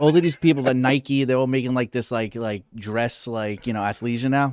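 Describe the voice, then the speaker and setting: With an American accent, a man speaks fairly quickly at a medium pitch, keeping his intonation fairly even. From New York, Queens (Whitestone). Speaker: comedian. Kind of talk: casual chat.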